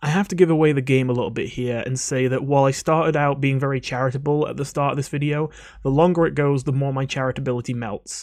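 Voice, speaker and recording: Quiet, very fast speech from a man at a fairly high pitch, with fairly even intonation and hardly any pauses. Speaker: video game coach and YouTuber. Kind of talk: casual commentary to camera. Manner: quiet, voice kept down.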